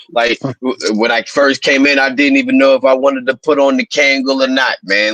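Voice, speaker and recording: With an American accent and an unremarkable speaking voice, a man speaks at a moderate pace and a fairly high pitch, keeping very even loudness and hardly any pauses in a dry, close sound with no echo. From Pittsburgh, Pennsylvania. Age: 30s. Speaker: rapper. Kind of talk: casual chat.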